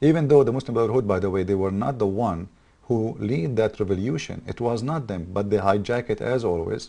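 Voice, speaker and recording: With an Arabic accent, a man talks at a fairly quick pace in a dark, mellow tone with ordinary pitch variation against a quiet background. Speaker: political commentator. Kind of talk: political monologue. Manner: animated; halting.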